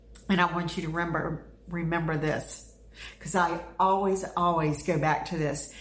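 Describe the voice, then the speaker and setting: Fairly low female voice at a fairly slow pace, with audible room echo. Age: 50s. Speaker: podcast host, motivational speaker. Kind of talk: motivational monologue.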